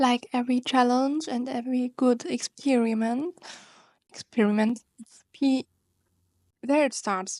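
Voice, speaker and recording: A woman with a German accent speaks at a high pitch and a fairly slow pace with fairly even intonation, long, frequent pauses and big swings in loudness, in a dry, close sound with no echo and a quiet background. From Germany. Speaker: YouTuber. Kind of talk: vlog. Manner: halting.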